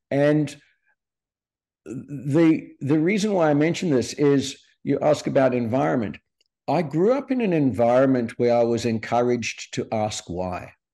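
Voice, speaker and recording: The voice has a dark, mellow tone and very wide pitch swings, heard against a quiet background. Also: man. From South Africa, Cape Town (Sea Point). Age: 60s. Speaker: entrepreneur. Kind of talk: podcast interview. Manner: hesitant, many fillers and repetitions.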